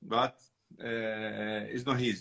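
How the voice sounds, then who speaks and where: A man speaks at a fairly low pitch with an Italian accent. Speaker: winemaker. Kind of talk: interview. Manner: halting.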